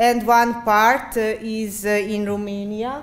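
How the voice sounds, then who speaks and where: Amid audible room echo, a woman with a Hungarian accent speaks at a very slow pace. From Great Szeged region, Hungary/Serbia border. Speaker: architecture researcher. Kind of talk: conference presentation. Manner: halting, many fillers.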